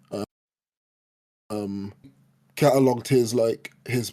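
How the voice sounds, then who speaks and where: A man with a London accent talks at a fairly slow pace in a dark, mellow tone. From East London, Hackney. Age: 20s. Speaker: podcast co-host, spoken word poet. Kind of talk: casual chat.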